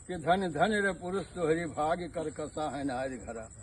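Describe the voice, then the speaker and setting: With ordinary pitch variation, a man talks in a fairly high register. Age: 50s. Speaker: village storyteller. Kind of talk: folk storytelling.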